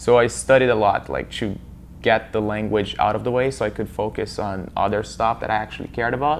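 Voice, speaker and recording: A man with a Portuguese accent speaks fairly quickly in a fairly low voice with vocal fry and ordinary pitch variation. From Brazil, Amazon region (Rondônia). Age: young. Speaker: student. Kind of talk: interview.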